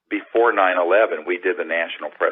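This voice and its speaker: A man talks at a fairly quick pace. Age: 60s. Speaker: UFO disclosure activist. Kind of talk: interview.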